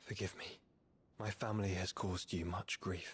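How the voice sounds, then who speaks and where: A raspy put-on character voice delivers lines at a moderate pace in monotone, flat intonation, with a dry, close sound and no echo. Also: man, very deep, low pitch for a man. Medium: video game. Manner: earnest.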